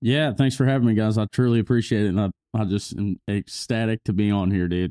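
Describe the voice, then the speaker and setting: A man with an American accent, fairly low pitch, a dark, mellow tone, ordinary pitch variation and a very fast pace. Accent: country twang. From rural Missouri. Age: 20s. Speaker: country musician. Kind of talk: interview.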